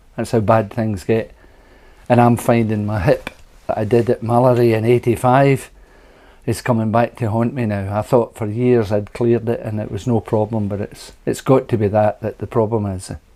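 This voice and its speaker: A man's dark, mellow tone in a flat monotone. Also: medium pitch for a man, moderate pace. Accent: Scottish. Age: 70s. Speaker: retired scooter racer. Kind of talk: interview answer.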